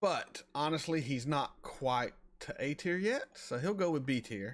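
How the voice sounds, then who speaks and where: A man with a slight Southern US accent speaks fairly slowly at a fairly high pitch, his tone animated and his intonation lively. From US South, North Florida near Alabama. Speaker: reaction streamer. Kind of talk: live stream chat. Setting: live stream. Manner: casual, animated.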